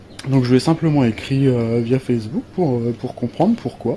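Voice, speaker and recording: A man at medium pitch and moderate pace, with ordinary pitch variation, against noticeable background noise. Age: 30s. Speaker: coaching client. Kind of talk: testimony. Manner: hesitant, many fillers.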